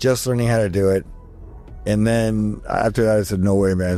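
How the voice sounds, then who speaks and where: Music can be heard behind a man whose voice sits fairly low. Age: 60s. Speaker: plastic surgeon. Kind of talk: podcast interview. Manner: animated.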